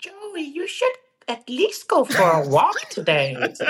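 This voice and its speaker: The pitch is high. It is a put-on character voice. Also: fairly slow pace. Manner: encouraging, gentle.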